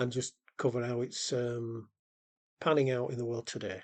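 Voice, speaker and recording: A man with a Yorkshire accent talks at a very fast pace in a medium-pitched voice. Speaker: podcast host. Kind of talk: casual chat; scripted intro.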